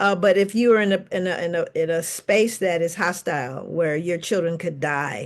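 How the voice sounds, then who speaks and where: In a normal speaking voice, a woman talks at a fairly low pitch with ordinary pitch variation and hardly any pauses. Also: moderate pace. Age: 60s. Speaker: psychologist and author. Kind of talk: panel discussion.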